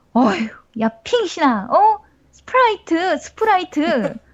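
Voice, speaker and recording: A woman uses a put-on character voice at an extremely high pitch, with very wide pitch swings. She talks at a fairly slow pace. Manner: exasperated, pitying.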